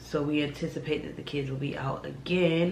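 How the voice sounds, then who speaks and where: In a room with audible echo, a woman with a very deep, low voice speaks at a moderate pace with ordinary pitch variation. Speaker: vlogger. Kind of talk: casual vlog monologue. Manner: casual, conversational.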